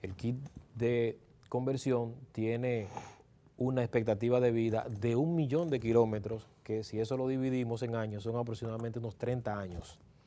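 A man talks at a moderate pace in a dark, mellow tone. His intonation stays fairly even. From Dominican Republic, Santo Domingo; Dominican Republic. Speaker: electric vehicle conversion specialist; guest. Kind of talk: interview. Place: studio. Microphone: lapel.

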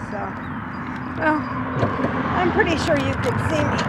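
A woman at a moderate pace, dry sound with no echo, loud background noise behind her. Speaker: vlogger. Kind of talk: casual vlog chat. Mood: cheerful, relaxed. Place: bicycle. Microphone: phone near.

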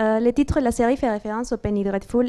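This woman's voice is fairly high yet dark and mellow in tone, delivered in a monotone, flat intonation. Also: quiet background. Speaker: master's student. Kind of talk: academic presentation. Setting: stage with audience. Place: classroom. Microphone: handheld.

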